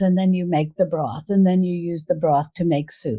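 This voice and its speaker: A woman speaks at a moderate pace in a dark, mellow tone that is somewhat breathy. The background is quiet. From US Northeast, New York suburbs. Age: 60s. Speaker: cooking video creator and cookbook author. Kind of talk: podcast interview.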